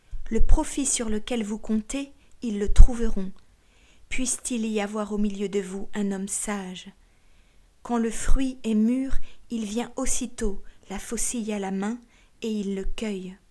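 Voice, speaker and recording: Over a very clean, silent background, a woman with a fairly high pitch and a dark, mellow, solemn tone speaks at a very slow pace with fairly even intonation, big swings in loudness, and long, frequent pauses. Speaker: audiobook narrator. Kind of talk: scripted audiobook reading of sacred text, solemn and literary. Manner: slow, measured, solemn; formal, meditative, with deliberate pauses between sayings.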